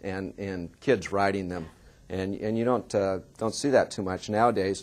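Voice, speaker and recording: A man with a Californian accent, fairly low pitch, fairly even intonation and moderate pace. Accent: General American (Californian). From US West Coast, Oakland, California. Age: 50s. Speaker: journalist and author. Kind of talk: seminar talk. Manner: halting, with many repetitions and fillers.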